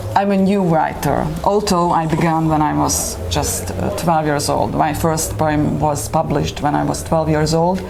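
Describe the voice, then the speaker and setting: With a Hungarian accent, a woman speaks at a fairly slow pace with hardly any pauses and very even loudness. Noticeable background noise and audible room echo fill the recording. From Slovakia, Hungarian minority. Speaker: poet and writer. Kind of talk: panel interview. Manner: halting, many hesitations.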